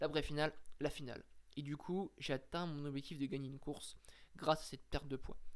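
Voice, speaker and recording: A man with a fairly high pitch speaks fairly quickly in a monotone, flat way, with long, frequent pauses. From France (Brittany family). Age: 20s. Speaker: podcaster. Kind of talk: personal monologue. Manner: casual, hesitant.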